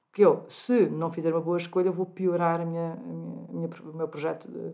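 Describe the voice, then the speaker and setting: A woman speaking at a moderate pace. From Portugal, Algarve. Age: 50s. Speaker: gynecologist and clinic director. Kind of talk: interview.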